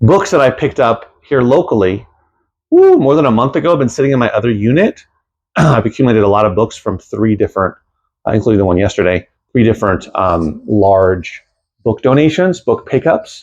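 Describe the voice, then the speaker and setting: A man speaks at a medium pitch, with pitch that swings very widely. The background is quiet. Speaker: used bookstore owner and reseller. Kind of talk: casual vlog. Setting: in his store. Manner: fast; rushed.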